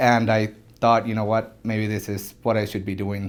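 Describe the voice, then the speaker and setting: A man's fairly low, monotone, flat voice with a Spanish accent at a fairly quick pace. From Venezuela, Caracas. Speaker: orthodontist. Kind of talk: interview testimony. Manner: halting.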